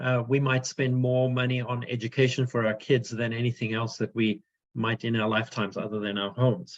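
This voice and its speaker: This man speaks with a South African accent at a medium pitch. His pace is moderate. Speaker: financial advisor. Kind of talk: webinar presentation. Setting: video call webinar. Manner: hesitant, many fillers.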